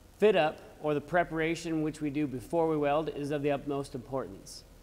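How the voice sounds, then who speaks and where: A man speaks at a moderate pace. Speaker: welding teacher. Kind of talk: tutorial. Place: workshop.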